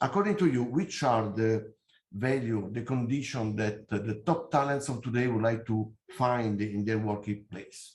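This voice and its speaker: A man with an Italian accent talks at a moderate pace and medium pitch, somewhat breathy, with ordinary pitch variation. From Italy. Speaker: company CEO, engineer. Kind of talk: conference presentation. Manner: hesitant, many fillers.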